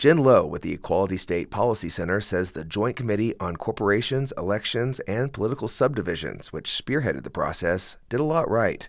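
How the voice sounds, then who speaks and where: Using an ordinary speaking voice, a man talks at a medium pitch with lively intonation and hardly any pauses. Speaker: radio news anchor. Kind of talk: local radio newsreading, scripted, polished and formal. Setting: radio studio broadcast. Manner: steady, measured, clear newsreader delivery.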